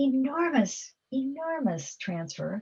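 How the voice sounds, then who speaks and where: A woman speaks at a very slow pace. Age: 70s. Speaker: philanthropist. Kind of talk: Q&A talk. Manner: halting.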